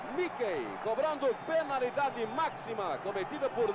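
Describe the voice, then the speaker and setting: Speaking at a fairly slow pace, a man with an extremely high pitch uses lively intonation over noticeable background noise. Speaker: radio football commentator. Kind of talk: live radio football commentary, 1970s archive recording.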